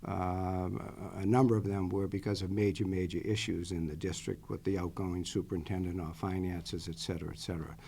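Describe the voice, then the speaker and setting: In a Boston accent, a man speaks at a fairly quick pace. His pitch is very deep and low, with ordinary variation. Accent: Boston accent, some. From Boston area, Massachusetts. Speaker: interim superintendent candidate. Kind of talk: job interview. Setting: school committee meeting. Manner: many filler words, hesitant.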